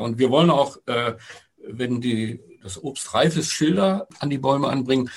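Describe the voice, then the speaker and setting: A man's voice at medium pitch. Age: 60s. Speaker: retiree and local project initiator. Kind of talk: casual interview. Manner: halting, with fillers.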